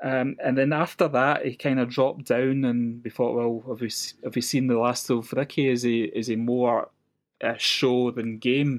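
In a west coast Scottish accent, a man speaks at a moderate pace and medium pitch with monotone, flat intonation. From west coast of Scotland. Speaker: golf fan guest. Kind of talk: casual chat.

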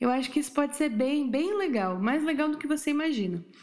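This woman has a high pitch with very wide pitch swings. She talks at a moderate pace. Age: 30s. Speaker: podcast host giving relationship advice. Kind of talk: casual advice monologue. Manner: informal, chatty.

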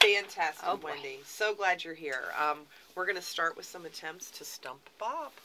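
A woman's fairly low-pitched voice with lively intonation, over noticeable background noise. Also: moderate pace. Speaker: radio co-host, library communications staff. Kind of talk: casual radio talk show chat. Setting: radio studio.

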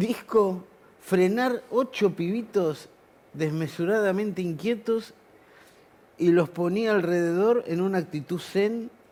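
In a Rioplatense accent, a man with a high pitch and a dark, mellow tone speaks with ordinary pitch variation. His pace is very slow, with long, frequent pauses. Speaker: musician. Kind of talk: casual chat.

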